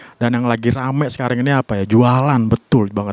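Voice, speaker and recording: A man speaks in an animated, playful tone at a medium pitch and a fairly quick pace. The sound is dry with no echo, and the background is quiet. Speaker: stand-up comedian. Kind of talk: stand-up comedy set, conversational storytelling with punchlines and audience laughter. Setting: stage with audience. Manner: animated, playful, punchy comic timing with pauses; casual, slangy, self-deprecating. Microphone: handheld.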